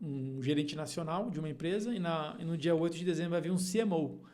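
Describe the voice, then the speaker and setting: With audible room echo, a man speaks at a fairly high pitch and a moderate pace. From Paraná, Brazil. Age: 30s. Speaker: agronomist and leadership mentor. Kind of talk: podcast interview. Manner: hesitant fillers.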